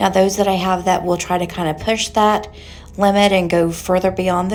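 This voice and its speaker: A quiet, fairly low woman's voice with fairly even intonation, over noticeable background noise. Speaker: nail technician. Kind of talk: tutorial voiceover. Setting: sauna room. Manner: kept low, quieter; casual. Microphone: echoey sound.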